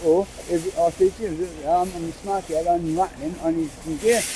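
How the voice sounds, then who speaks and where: Noticeable background noise can be heard. Over it, the voice swings very widely in pitch. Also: man. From England (Bristol). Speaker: homeless man, interviewee. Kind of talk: casual street conversation. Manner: halting, repetitive.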